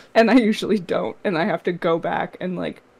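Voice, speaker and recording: A woman speaks at a moderate pace. Her voice shows vocal fry and ordinary pitch variation. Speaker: comic artist. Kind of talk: live stream Q&A.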